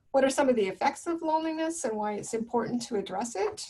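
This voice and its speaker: This soft-spoken voice moves at a fairly quick pace with ordinary pitch variation. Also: woman. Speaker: counsellor leading a webinar. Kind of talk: webinar presentation.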